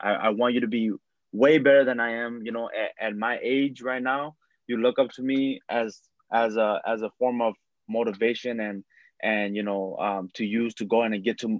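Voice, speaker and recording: Here is a normal speaking voice: a man with an American accent at medium pitch. He talks at a moderate pace with fairly even intonation. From St. Paul, Minnesota. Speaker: amateur soccer goalkeeper. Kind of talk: interview.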